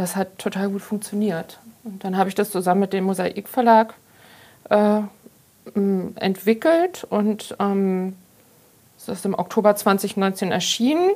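With long, frequent pauses and a fairly slow pace, a woman with a medium pitch speaks in a dark, mellow tone with fairly even intonation. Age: 50s. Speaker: pharmacist and journalist, author. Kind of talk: casual interview.

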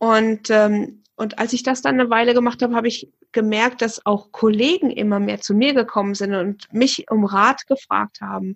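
A woman with a plain, everyday voice, fairly high pitch and ordinary pitch variation, at a moderate pace with hardly any pauses. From Hesse, near Fulda. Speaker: hypnotherapist, former psychiatric nurse. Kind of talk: casual chat.

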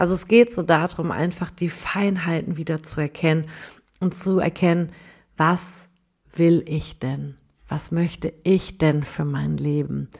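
Speaking at a very slow pace, a woman uses a fairly low pitch. Her intonation is fairly even. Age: 30s. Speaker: life coach. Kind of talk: podcast monologue.

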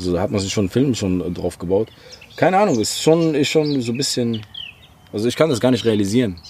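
Noticeable background noise sits behind a man speaking at a very fast pace with long, frequent pauses. His medium-pitched voice has lively intonation. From Algeria (Oran), moved to Germany. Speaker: rapper. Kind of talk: casual chat. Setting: garden.

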